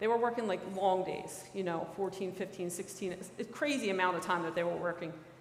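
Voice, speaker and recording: A woman at medium pitch with a Philadelphia accent, fairly even intonation, and audible room echo. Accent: Philadelphia accent, lasting. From Philadelphia, US. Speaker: federal special agent. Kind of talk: talk to a church audience. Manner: casual, many fillers.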